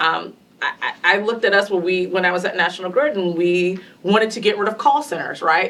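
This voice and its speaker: Fairly quick speech from a woman, against noticeable background noise. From US South. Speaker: panelist, tech industry leader. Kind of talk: panel discussion.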